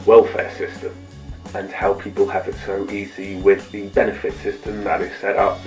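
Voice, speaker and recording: There is music in the background. A man speaks at a fairly slow pace. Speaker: vlogger. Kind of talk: casual talk to camera. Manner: comedic storytelling.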